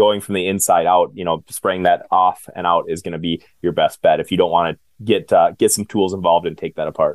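A man with an Upper Midwest accent, fairly quick and with hardly any pauses. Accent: Upper Midwest American. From central Minnesota, US. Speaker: home maintenance business owner. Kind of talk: interview.

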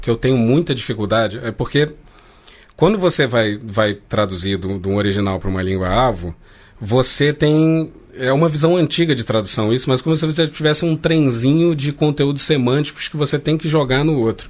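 A man with an ordinary speaking voice talks at a medium pitch. His pace is fairly quick and his intonation lively. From Rio de Janeiro, Brazil. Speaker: translator. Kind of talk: casual chat.

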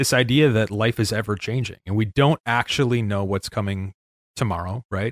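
A man with an American accent and an unremarkable speaking voice talks at a moderate pace with ordinary pitch variation, the sound dry and close with no echo. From Chicago northwest suburbs. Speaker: entrepreneur and business consultant. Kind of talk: casual interview chat. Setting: remote, in front of a bookshelf at a microphone.

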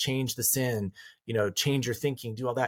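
Very fast and somewhat breathy, a man with an American accent speaks at medium pitch on a very clean recording with a silent background. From rural Colorado. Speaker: counselor and author. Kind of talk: interview conversation.

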